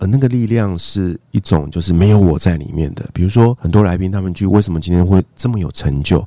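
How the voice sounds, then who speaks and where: Speaking very fast with hardly any pauses, a man has a very deep, low voice. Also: ordinary pitch variation. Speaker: podcast host. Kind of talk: interview conversation. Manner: soft-spoken.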